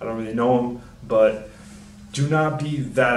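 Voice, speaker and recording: Medium pitch from a man with ordinary pitch variation, plus noticeable background noise and audible room echo. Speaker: personal trainer. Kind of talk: casual talk to camera. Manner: soft-spoken; mumbling.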